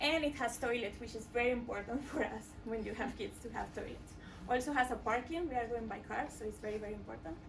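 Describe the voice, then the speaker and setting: A woman with a high pitch and ordinary pitch variation at a fairly quick pace, with audible room echo. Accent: strong Mexican. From Mexico. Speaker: coding bootcamp student. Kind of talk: product demo presentation. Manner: hesitant, many filler sounds.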